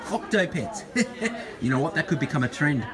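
Over crowd noise in the background, a man speaks with lively intonation. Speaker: market vlogger. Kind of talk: casual vlog commentary. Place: market. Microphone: phone near.

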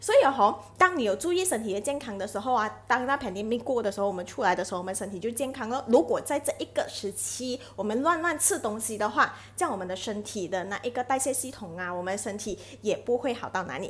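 With lively intonation, a woman talks at a very fast pace. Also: fairly high pitch for a woman. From Malaysia. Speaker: live streamer selling health products; product promoter vlogger. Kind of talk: live stream chat with product promotion. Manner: chatty, many filler particles. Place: home room. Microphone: earbuds.

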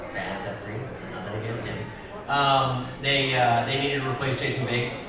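A man with an American accent, loud background noise and audible room echo. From Chicago. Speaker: voice actor. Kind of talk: convention panel discussion. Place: hall.

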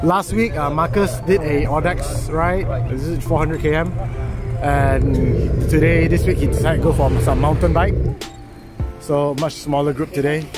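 Loud music plays in the background while a man speaks at a moderate pace. He leaves long, frequent pauses, and the sound is dry, with no echo. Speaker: cycling vlogger. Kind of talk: casual vlog chat. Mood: relaxed, cheerful.

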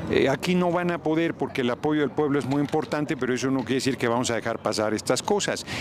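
A man at a fairly quick pace, with ordinary pitch variation, a dry sound with no echo, and noticeable background noise. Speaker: politician interviewed. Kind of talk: interview answer. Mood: critical, argumentative. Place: street. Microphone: handheld.

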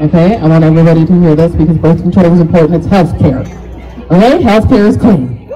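Her voice is fairly low for a woman, and her tone is animated. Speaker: comedian. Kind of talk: stand-up. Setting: stage with audience. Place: stage. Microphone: pa.

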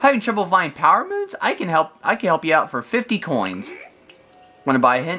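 A squeaky, put-on character voice sits at a middle pitch. It moves at a moderate pace with music in the background.

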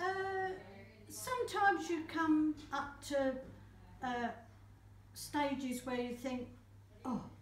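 A woman with a high pitch talks at a very slow pace with long, frequent pauses, audible room echo and light background noise. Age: 70s. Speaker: caregiver. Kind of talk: interview answer. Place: office. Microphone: camera far.

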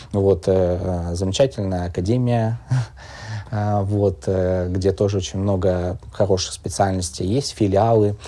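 Very slow and fairly even in intonation, the voice has a dark, mellow tone. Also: man, fairly low pitch for a man. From Chukotka, Russian Far East; Russian Far East. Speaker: physics teacher and university lecturer; physics teacher, university lecturer. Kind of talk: live interview. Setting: studio with live audience.

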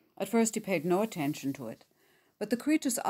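What we hear is a natural reading voice.

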